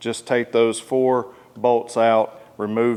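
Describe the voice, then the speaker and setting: A man with a Southern US accent speaks at a medium pitch. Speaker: motorcycle accessory installer and reviewer. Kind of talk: tutorial. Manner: casual, uses many fillers.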